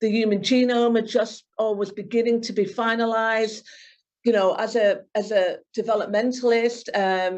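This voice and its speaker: At a moderate pace, a woman speaks at a fairly high pitch in a monotone, flat intonation. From northern England, Bury near Manchester. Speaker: neuroscience professor. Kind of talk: interview. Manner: halting, many fillers and repeats.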